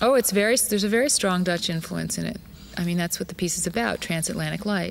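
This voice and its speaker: Talking very fast with vocal fry, a woman with an American accent speaks at a medium pitch. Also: ordinary pitch variation. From Arizona, USA. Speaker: dancer and choreographer. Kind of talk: interview answer.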